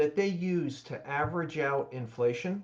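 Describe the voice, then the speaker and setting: A man talks with a fairly high pitch. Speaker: economics commentator. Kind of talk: explainer lecture. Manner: slow; articulate.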